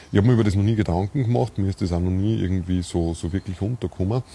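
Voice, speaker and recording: Dark, mellow tone in an Austrian accent, with ordinary pitch variation. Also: man. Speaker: podcast host. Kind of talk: casual conversation. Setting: outdoors in a castle courtyard, video stream.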